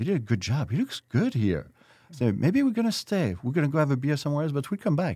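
In a French accent, a man talks very fast in a fairly high, dark, mellow voice that is somewhat breathy and swings very widely in pitch. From France (Versailles). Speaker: restaurateur. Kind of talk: interview.

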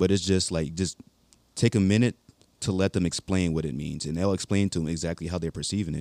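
In an American accent, a man speaks at a very fast pace with a very deep, low pitch and a dark, mellow tone. His intonation is fairly even, and the sound is dry and close with no echo. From Baltimore, Maryland. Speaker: young Marine corporal. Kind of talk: casual interview chat.

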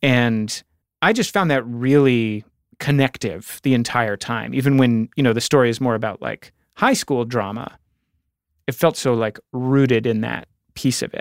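Recorded very cleanly against a silent background, with a dry, close sound and no echo, a man speaks in a normal speaking voice at medium pitch, moderate pace and ordinary pitch variation. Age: 40s. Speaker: podcast host. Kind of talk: interview conversation. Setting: studio.

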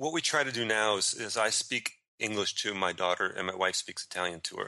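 The speaker has a plain, everyday voice, moving at a moderate pace with ordinary pitch variation. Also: man. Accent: American. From US, Chicago then Florida. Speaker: writer and teacher living abroad. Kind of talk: interview.

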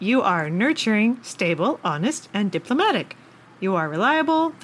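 Reading done in an unforced reading voice

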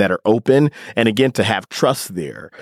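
A man with a Midwestern American accent, ordinary pitch variation and moderate pace, in a dry, close sound with no echo on a very clean recording with a silent background. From US Midwest. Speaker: digital media editor. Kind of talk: casual chat. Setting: studio.

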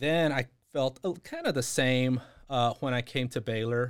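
A man's medium-pitched, ordinary speaking voice at a fairly slow pace with ordinary pitch variation, on a very clean recording with a silent background. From Texas (San Antonio, Houston). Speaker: school district administrator. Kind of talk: interview.

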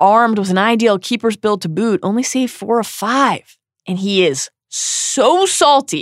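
A natural reading voice with ordinary pitch variation against a quiet background.

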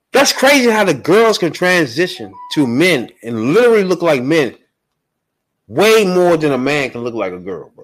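With music in the background, a man with an American accent talks at a moderate pace in a fairly high pitch, making very wide pitch swings and big swings in loudness. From Washington DC area. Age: 40s. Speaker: podcast host. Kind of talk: casual chat.

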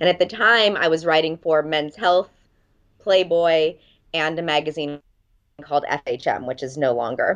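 Against a quiet background, a woman with an American accent talks at a moderate pace and fairly low pitch, with ordinary pitch variation. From Los Angeles, US. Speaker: dating coach and author. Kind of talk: interview.

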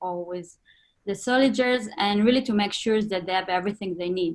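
A woman speaks in an Israeli accent at a medium pitch. Her pitch variation is ordinary. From northern Israel. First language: Hebrew. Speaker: fashion designer. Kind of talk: interview.

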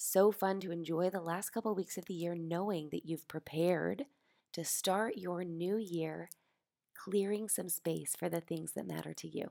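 Over a very clean recording with a silent background, a woman talks at a moderate pace in a dark, mellow tone with fairly low pitch. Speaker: podcast host. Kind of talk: scripted podcast intro. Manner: animated.

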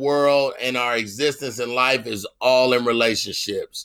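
A man at medium pitch with a bright, sharp tone, clear and smooth, fairly even intonation and a fairly slow pace

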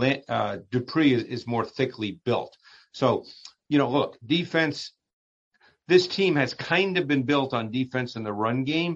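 This man has a plain, everyday voice at a medium pitch with ordinary pitch variation. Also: fairly slow pace. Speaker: football analyst. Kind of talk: casual chat.

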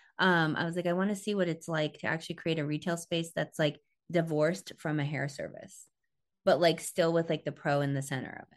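Speaking in a normal speaking voice with an American accent, a woman talks at a fairly quick pace and a fairly low pitch. The background is quiet. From southern Missouri and Tampa. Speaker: hairstylist and educator. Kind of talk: casual interview chat.

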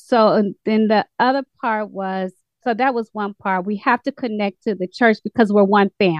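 At a moderate pace, a woman talks in an unremarkable speaking voice with fairly even intonation. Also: fairly high pitch for a woman. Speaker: study group participant. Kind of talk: casual chat. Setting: video call.

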